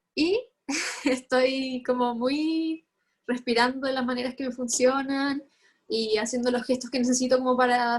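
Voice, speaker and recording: A woman's high-pitched voice in a flat monotone. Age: 20s. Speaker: mental health activist. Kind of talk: testimony.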